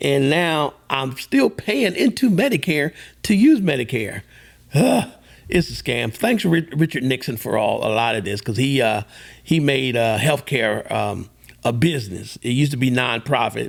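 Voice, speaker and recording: Speaking at a moderate pace, a man of medium pitch uses lively intonation with vocal fry. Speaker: host's father, podcast guest. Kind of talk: casual chat. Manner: halting.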